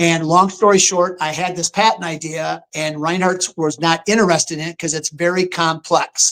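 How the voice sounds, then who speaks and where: In a high pitch and a monotone, flat delivery, a man talks at a moderate pace. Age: 60s. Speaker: taxidermy sculptor and hunter. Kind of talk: interview on live stream.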